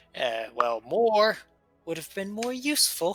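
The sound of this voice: A put-on character voice at a middle pitch swings very widely up and down at a fairly slow pace, with faint music in the background.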